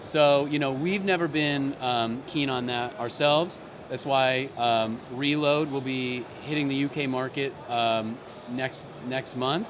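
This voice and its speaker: A man with an American accent talks at a fairly slow pace and a medium pitch. Noticeable background noise and audible room echo surround his voice. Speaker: company CEO. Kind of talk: interview. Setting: trade expo stand. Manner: halting, many fillers.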